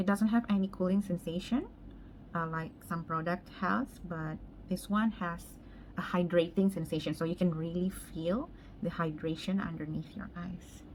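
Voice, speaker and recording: A somewhat breathy voice at a moderate pace. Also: woman, fairly low pitch for a woman, ordinary pitch variation. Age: 30s. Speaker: makeup artist. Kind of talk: makeup tutorial, casual chat.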